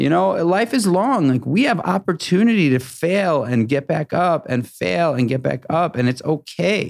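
A man's high pitch swinging very widely at a moderate pace, captured in a very clean recording with a silent background. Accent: American. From New York City. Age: 40s. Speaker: restaurateur and entrepreneur. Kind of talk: interview conversation. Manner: halting, many repeated words.

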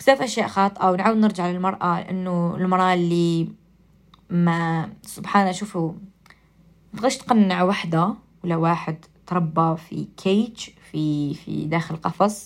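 A woman's fairly low voice in an Algerian accent, with fairly even intonation and a fairly slow pace. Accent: Algerian Arabic with English code-switching. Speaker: radio and podcast host. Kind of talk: casual monologue.

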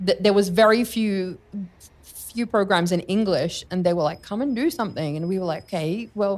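A woman in an Australian accent, medium in pitch, at a moderate pace with ordinary pitch variation. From Australia, Sydney. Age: 40s. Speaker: speaker and radio/TV presenter. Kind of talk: casual interview chat.

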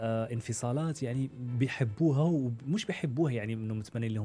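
This man's voice sits at a medium pitch with ordinary pitch variation. There is music in the background. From Morocco. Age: 30s. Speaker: media presenter. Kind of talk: interview, personal story.

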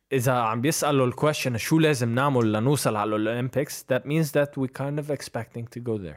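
In a plain, everyday voice, a man of medium pitch talks at a fairly quick pace with hardly any pauses and ordinary pitch variation, on a very clean recording with a silent background. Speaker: professional basketball player. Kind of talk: casual interview.

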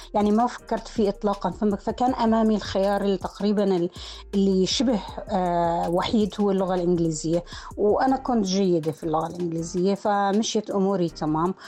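A woman speaks moderately fast in a medium pitch that varies in an ordinary way. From northern Jordan. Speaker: university lecturer in rhetoric and linguistics. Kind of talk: personal life story interview. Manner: halting with repetitions.

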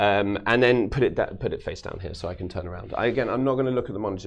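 A man with a London accent, very fast pace and ordinary pitch variation. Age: 40s. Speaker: magician. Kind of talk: live magic performance; casual chat. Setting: studio.

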